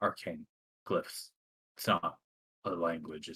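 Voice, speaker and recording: A man's quiet, put-on character voice at a fairly slow pace. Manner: muttering, hard to hear.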